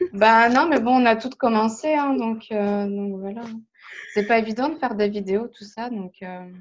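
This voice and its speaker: Speaking fairly slowly, a woman with a fairly high voice shows ordinary pitch variation and big swings in loudness. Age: 30s. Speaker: hobbyist colourer, subscriber. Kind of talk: casual interview. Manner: hesitant, many fillers.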